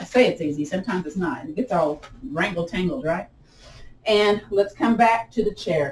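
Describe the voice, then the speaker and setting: A woman with a medium-pitched, somewhat breathy voice talks with lively intonation. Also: moderate pace. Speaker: yoga and tai chi instructor. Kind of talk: guided exercise class. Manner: animated.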